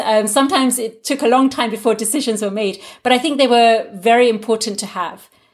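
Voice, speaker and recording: A woman with a British accent, fairly high in pitch, at a fairly quick pace. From England. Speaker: linguist. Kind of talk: interview.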